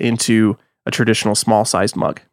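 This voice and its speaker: A man with an American accent speaks fairly quickly in a dry, close sound with no echo. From US Texas. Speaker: podcaster. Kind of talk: casual chat.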